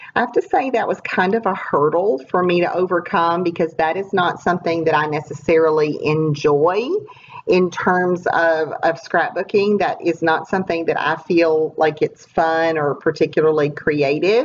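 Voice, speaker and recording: Over noticeable background noise, a woman speaks at a moderate pace with ordinary pitch variation. Her loudness stays very even. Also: fairly low pitch for a woman. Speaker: scrapbooker. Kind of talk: casual talk to camera.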